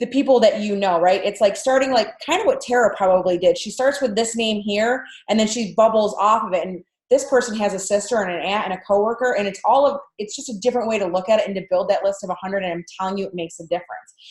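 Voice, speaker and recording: A woman talks at a very fast pace and a medium pitch, somewhat breathy, with ordinary pitch variation, big swings in loudness and hardly any pauses. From Canada. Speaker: direct sales team leader. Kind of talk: training webinar.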